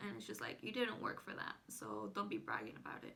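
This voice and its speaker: With a bright, sharp tone, a woman talks at a moderate pace. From Southern California. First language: Spanish. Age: 20s. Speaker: YouTuber. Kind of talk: casual vlog monologue. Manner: casual, filler-heavy (frequent 'like').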